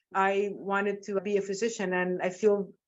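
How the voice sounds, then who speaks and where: A woman's monotone, flat voice in a Spanish accent. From Nicaragua, then Seattle from age ten. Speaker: physician and medical professor. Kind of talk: interview. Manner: warm, articulate.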